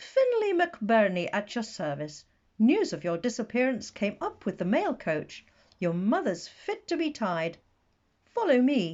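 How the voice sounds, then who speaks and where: Putting on a character voice, a man speaks at a fairly slow pace with an extremely high pitch and very wide pitch swings. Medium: read story. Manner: hearty, commanding.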